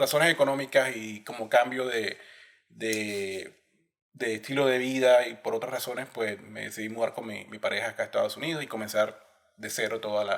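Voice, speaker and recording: A plain, everyday voice speaks at a moderate pace with fairly even intonation. Its loudness swings widely. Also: man, medium pitch for a man. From Colombia, Barranquilla (Caribbean coast). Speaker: systems engineer, immigrant guest. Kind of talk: podcast interview.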